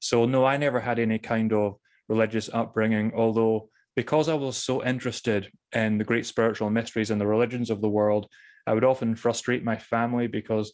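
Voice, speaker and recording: A man speaks in a Scottish accent at a fairly quick pace. His intonation is monotone and flat against a quiet background. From Scotland (Thurso, far north). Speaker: author on spirituality. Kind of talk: interview. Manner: careful enunciation, drops T's.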